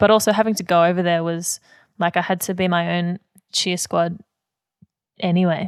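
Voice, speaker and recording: In a very clean recording with a silent background, the speaker talks at a moderate pace with an Australian accent, a flat, monotone delivery, long and frequent pauses, and a dry, close sound free of echo. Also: woman, fairly low pitch for a woman. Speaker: singer and musical theatre performer. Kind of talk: interview.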